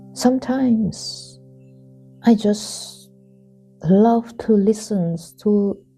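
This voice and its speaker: Over music in the background, a soft-spoken woman with a fairly high voice speaks very slowly in a gentle tone. Her intonation is fairly even, and she takes long, frequent pauses. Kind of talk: spoken reflection. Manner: gentle, soft-spoken.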